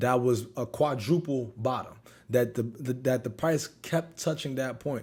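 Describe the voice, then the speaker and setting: A man with an unremarkable speaking voice talks at a moderate pace and a medium pitch, his intonation fairly even. The recording is very clean, with a silent background. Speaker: options trader and trading youtuber. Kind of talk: trading recap tutorial.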